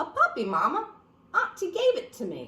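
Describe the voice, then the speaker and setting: The voice is a squeaky, put-on character voice. It moves at a moderate pace with very wide pitch swings. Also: woman. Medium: read story. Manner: naive, earnest.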